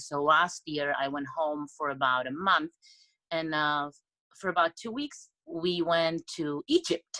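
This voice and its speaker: A woman with a non-native accent speaks at a fairly slow pace in a very deep, low voice with a bright, sharp tone. The sound is dry and close with no echo. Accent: foreign. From Europe. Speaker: blind date participant. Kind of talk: casual chat. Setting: video call.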